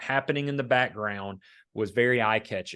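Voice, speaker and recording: A man's medium-pitched voice with fairly even intonation, over a quiet background. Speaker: business owner and mastermind group leader. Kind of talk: podcast interview. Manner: loud.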